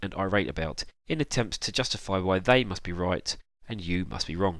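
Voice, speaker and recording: His voice is fairly low. The man talks at a very fast pace. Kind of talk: casual vlog commentary.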